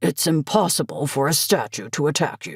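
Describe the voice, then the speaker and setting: A man's put-on character voice, growling and fairly high-pitched, with very wide pitch swings at a moderate pace. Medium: read story. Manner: dry, suspicious, unconvinced.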